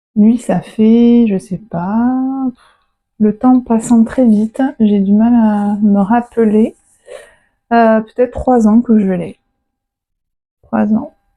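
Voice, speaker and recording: In a southern French accent, a woman speaks very slowly with long, frequent pauses and fairly even intonation. Her fairly high voice is somewhat breathy, with a dark, mellow tone. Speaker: plant and animal vlogger. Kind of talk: casual vlog talk to camera.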